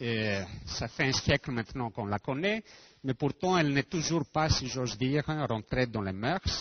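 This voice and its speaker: A man with a non-native accent speaks somewhat breathily at a fairly slow pace, his medium pitch swinging very widely. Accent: foreign accent in French. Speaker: physicist. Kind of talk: lecture. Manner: halting.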